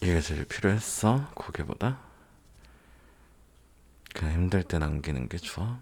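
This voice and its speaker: Vocal fry and very wide pitch swings mark this fairly slow delivery, broken by long, frequent pauses. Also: man, very deep, low pitch for a man. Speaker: ASMR content creator. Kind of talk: ASMR roleplay, comforting boyfriend talking to the listener. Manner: soft, intimate, caring.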